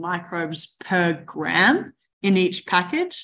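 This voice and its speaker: A woman speaks at medium pitch with an Australian accent. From Australia, Mornington Peninsula near Melbourne. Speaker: agtech startup co-founder. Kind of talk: interview.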